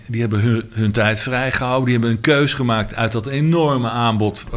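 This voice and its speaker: A man speaks fairly quickly with ordinary pitch variation as noticeable noise sounds behind him. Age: 60s. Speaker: jazz saxophonist. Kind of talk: interview. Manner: halting.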